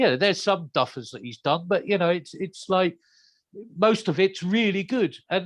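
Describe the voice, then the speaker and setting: Over a quiet background, a man with an English accent speaks at a high pitch and moderate pace with ordinary pitch variation. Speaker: heavy metal singer. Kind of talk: interview.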